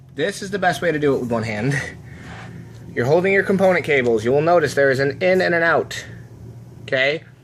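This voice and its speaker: A man talks at a fairly quick pace in a fairly high pitch, with noticeable background noise behind him. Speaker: gaming tech youtuber. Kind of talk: tutorial. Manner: fast; casual, conversational.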